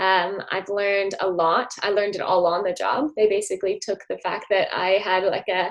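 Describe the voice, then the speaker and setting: A woman with an American accent talks at a moderate pace in a medium pitch, her intonation monotone and flat. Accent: American accent, noticed by Australians. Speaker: former college athlete, physiotherapy student. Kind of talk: interview. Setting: podcast. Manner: hesitant, many fillers.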